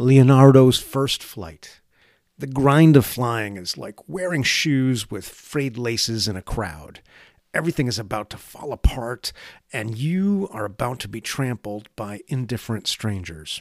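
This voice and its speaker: In a very clean, dry, close recording with a silent background and no echo, a man with an ordinary speaking voice and medium pitch talks fairly slowly, using lively intonation and big swings in loudness. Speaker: essayist reading own piece. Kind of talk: scripted spoken-word essay, read aloud in a wry, lyrical, contemplative tone.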